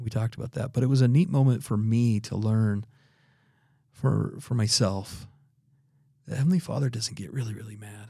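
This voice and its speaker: With an American accent, a man speaks at medium pitch and a moderate pace, his tone dark and mellow and somewhat breathy, with ordinary pitch variation, big swings in loudness, and long, frequent pauses. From Idaho. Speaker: religious educator. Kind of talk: interview.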